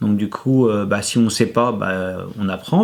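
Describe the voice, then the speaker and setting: A man's pitch varies in an ordinary way. The recording is very clean, its background silent. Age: 50s. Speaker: former IT engineer who changed life. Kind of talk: testimony interview. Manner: hesitant, many fillers and repetitions.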